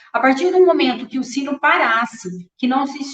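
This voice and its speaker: Fairly unhurried delivery from a woman with a high voice. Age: 50s. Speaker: architect. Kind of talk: lecture.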